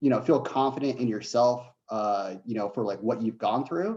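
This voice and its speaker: A man is speaking. His tone is dark and mellow. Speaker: veteran turned software developer. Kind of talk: panel Q&A. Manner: halting, many fillers.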